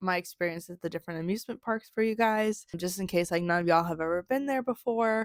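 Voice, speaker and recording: Mumbling from a woman at a fairly quick pace with ordinary pitch variation, the sound dry and close with no echo on a very clean recording with a silent background. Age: adult. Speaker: vlogger. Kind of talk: casual recap to camera.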